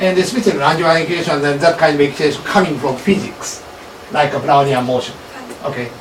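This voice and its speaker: Someone talks at a very fast pace with ordinary pitch variation. Noticeable background noise and audible room echo fill the recording. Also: man, fairly high pitch for a man. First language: Japanese. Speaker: professor leading lab seminar. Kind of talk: academic seminar discussion. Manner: halting, many fillers.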